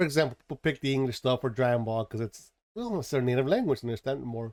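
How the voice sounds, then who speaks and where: Speech comes at a very fast pace with ordinary pitch variation. The sound is dry and close, with no echo. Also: man, medium pitch for a man. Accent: Spanish. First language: Spanish. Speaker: anime commentator. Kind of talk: casual monologue.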